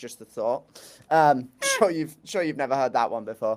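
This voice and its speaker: Very wide pitch swings from a man with an English accent, fairly high in pitch, at a moderate pace, on a very clean recording with a silent background. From England. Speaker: soccer journalist. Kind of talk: casual chat.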